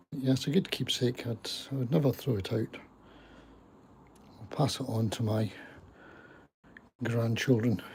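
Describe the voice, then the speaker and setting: A man with a Scottish accent speaks at a moderate pace in a medium pitch, his voice somewhat breathy, with ordinary pitch variation and long, frequent pauses. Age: 70s. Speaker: gardening vlogger. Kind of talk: casual live stream chat.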